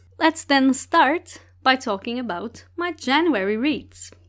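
Lively intonation from a woman with a Portuguese accent at a very slow pace. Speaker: book podcast host. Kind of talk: solo podcast monologue, book reviews.

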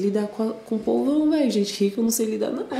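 With a São Paulo accent, a woman speaks with ordinary pitch variation amid noticeable background noise and audible room echo. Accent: Paulistano Brazilian Portuguese. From São Paulo, Brazil (north zone). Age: 20s. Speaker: DJ. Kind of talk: casual chat.

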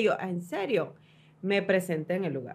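A woman talks at a fairly quick pace. Noticeable background noise runs beneath her voice. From Honduras (Danlí). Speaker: TV host. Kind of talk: casual chat. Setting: studio.

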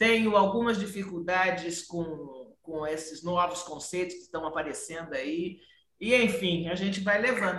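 Here a woman speaks at medium pitch and a moderate pace, with ordinary pitch variation. Her loudness swings widely, and audible room echo is present. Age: 60s. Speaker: podcast host. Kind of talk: casual chat.

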